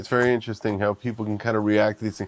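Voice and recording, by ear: A man's very fast, nasal delivery with a New York accent, fairly low in pitch and with little pitch movement.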